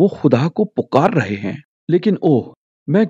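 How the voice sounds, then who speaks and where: His pitch rises and falls very widely. The speaker is a man. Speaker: preacher / sermon speaker. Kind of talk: sermon / Bible teaching talk.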